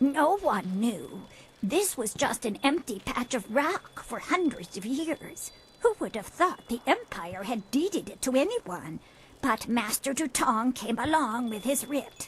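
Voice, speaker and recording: Using a put-on character voice, a woman speaks at a fairly slow pace with a high pitch, a warm tone and very wide pitch swings. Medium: video game. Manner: warm, motherly, calls others dearie.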